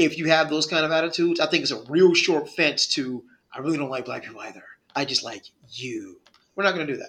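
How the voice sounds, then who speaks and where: An unremarkable speaking voice with an American accent goes at a fairly quick pace, with ordinary pitch variation and big swings in loudness. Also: man. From US Northeast. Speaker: podcast co-host. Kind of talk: casual chat. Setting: virtual studio.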